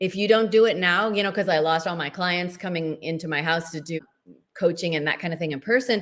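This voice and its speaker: Her fairly quick pace and fairly low pitch mark this woman's normal speaking voice, which has ordinary pitch variation. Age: 60s. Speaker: menopause health coach and author. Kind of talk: interview.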